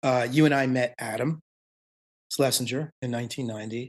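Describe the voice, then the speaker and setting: In a plain, everyday voice, a man speaks at a moderate pace with ordinary pitch variation against a quiet background. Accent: American. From US, Maryland. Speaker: songwriter and musician. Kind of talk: interview.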